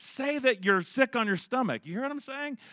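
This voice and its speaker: With a Southern US accent, the voice runs at a very fast pace in a bright, sharp tone, on a very clean recording with a silent background and a dry, close sound with no echo. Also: man. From Charlotte, North Carolina, US South. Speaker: preacher. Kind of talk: sermon. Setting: church with congregation.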